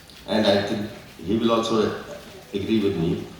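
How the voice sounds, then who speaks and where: There is audible room echo and noticeable background noise as a man talks at a moderate speed. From India. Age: 70s. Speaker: retired civil servant. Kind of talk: seminar speech. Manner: halting.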